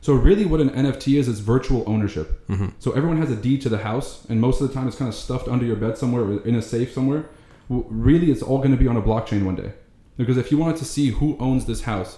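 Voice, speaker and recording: Speaking very fast in an Arabic accent, a man holds a medium pitch with ordinary pitch variation. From Lebanon, moved to US at nine. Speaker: NFT investor and trader. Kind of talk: casual chat.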